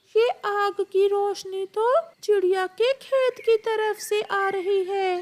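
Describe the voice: A cartoonish character voice talks at a fairly slow pace. Its pitch is extremely high. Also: hardly any pauses.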